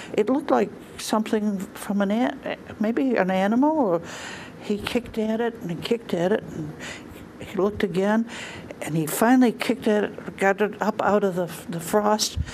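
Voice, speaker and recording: Amid noticeable background noise, a woman with a fairly high pitch talks at a moderate pace and ordinary pitch variation. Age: 80s+. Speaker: storyteller. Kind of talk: storytelling.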